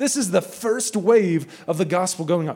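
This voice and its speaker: Animated in tone, a man with an American accent speaks in a high pitch. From United States. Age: 30s. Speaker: missionary. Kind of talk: sermon. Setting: church with audience.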